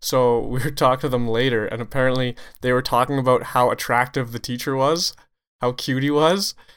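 A plain, everyday voice with a Canadian accent, at a moderate pace, in a very clean recording with a silent background. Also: man. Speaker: hockey referee podcast host. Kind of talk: casual chat.

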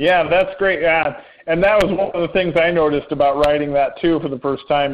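Pitched high, a man with an American accent talks with ordinary pitch variation. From Indiana. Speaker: podcast host. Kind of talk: casual interview.

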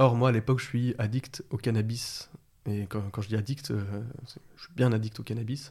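A man speaks at a medium pitch. His tone is dark and mellow, and somewhat breathy. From France, Lyon area. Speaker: herbalist. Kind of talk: interview conversation. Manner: halting, repeats words.

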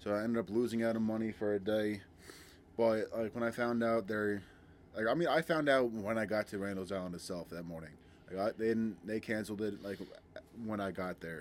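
A man with an American accent and a normal speaking voice, fairly low in pitch, fairly quick, with ordinary pitch variation. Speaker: security guard. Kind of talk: casual storytelling podcast.

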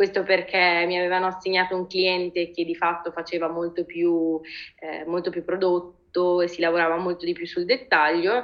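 A woman with a fairly low pitch talks in a monotone, flat way at a moderate pace. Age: 30s. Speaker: designer and art director. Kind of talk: interview conversation.

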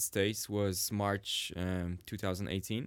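Speaking at a moderate pace, a man talks with a Polish accent. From Warsaw, Poland. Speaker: cinematographer guest. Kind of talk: casual interview.

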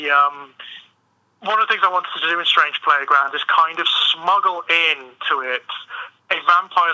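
The speaker has a normal speaking voice and a moderate pace. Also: man. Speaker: author and writer. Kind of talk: casual interview.

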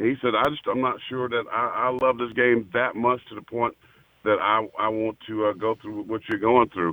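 A man with a plain, everyday voice talks at a medium pitch and a moderate pace. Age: 50s. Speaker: former NFL player and pastor. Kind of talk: casual chat.

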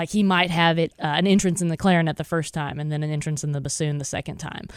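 A woman speaks in a plain, everyday voice, fairly low in pitch with fairly even intonation, on a very clean recording with a silent background. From Texas, small town. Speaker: orchestra conductor. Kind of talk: radio interview.

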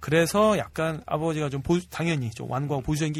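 A man talks at a fairly high pitch. His voice is somewhat breathy. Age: middle-aged. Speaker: film and web drama director. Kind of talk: casual chat.

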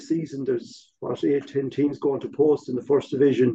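With a western Irish accent, the speaker talks at a fairly quick pace. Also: man. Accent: Irish (west of Ireland). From Ireland, Galway. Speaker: former football club chairman. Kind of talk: casual chat.

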